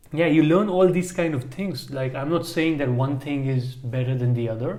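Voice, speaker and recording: At a moderate pace, the speech comes through audible room echo and noticeable background noise. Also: man, fairly high pitch for a man, ordinary pitch variation. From India. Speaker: podcast co-host. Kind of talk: casual chat. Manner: halting.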